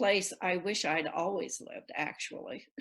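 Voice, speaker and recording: Against a quiet background, a woman with a US Midwestern accent talks at a fairly slow pace. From Nebraska, US Midwest. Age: 70s. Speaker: cancer survivor. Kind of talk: interview. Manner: halting.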